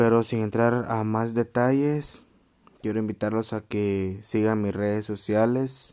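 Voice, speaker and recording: In a Guatemalan accent, a man speaks at a fairly slow pace. His tone is dark and mellow, and his intonation is flat and monotone. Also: medium pitch for a man. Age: 20s. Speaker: podcaster. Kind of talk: solo podcast monologue. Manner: casual.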